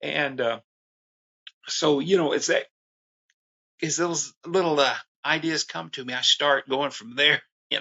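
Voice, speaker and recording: With a fairly high pitch, this man talks at a fairly slow pace and fairly even intonation, leaving long, frequent pauses. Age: 60s. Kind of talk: interview. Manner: halting, many fillers.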